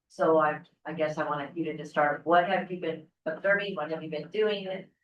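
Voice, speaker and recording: Audible room echo surrounds a woman speaking fairly quickly in a very deep, low pitch with fairly even intonation. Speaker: city council member. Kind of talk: public meeting discussion. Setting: city council meeting. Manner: soft-spoken.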